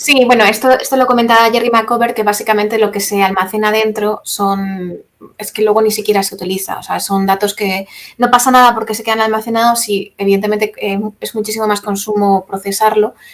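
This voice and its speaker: Against noticeable background noise, a woman speaks in a fairly high voice with monotone, flat intonation. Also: fairly quick pace. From Spain, Castilla-La Mancha. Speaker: environmental activist. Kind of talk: talk with Q&A.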